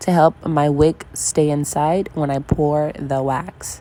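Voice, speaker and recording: A woman talks at a very slow pace with noticeable background noise behind her. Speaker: candle-making vlogger. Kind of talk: tutorial. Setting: at home at night. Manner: quiet, hushed; halting, many fillers.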